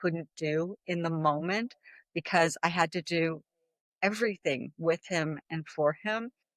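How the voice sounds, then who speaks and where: The speaker has a plain, everyday voice with ordinary pitch variation. The recording is very clean, with a silent background. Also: woman, dry, close sound with no echo. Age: 60s. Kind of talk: interview testimony.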